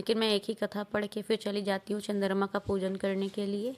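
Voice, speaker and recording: A woman's medium-pitched voice has a dark, mellow tone, in a very clean recording with a silent background. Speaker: housewife vlogger. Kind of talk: vlog narration. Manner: casual, conversational.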